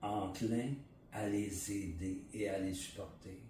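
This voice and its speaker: A man's somewhat breathy, fairly low voice with a Quebec accent, in a room with audible echo. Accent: Québécois French. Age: 60s. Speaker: interviewee sharing personal story. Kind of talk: testimony. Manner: halting, many fillers and repetitions.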